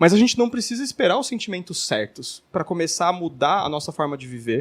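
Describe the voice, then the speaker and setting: Lively intonation carries a man's speech at a very fast pace. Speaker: religious podcast host. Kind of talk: casual chat.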